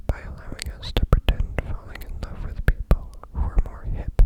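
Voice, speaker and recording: Someone whispers in a gentle tone over noticeable background noise. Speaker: ASMR content creator. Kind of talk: ASMR reading, sleep. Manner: gentle, whispered.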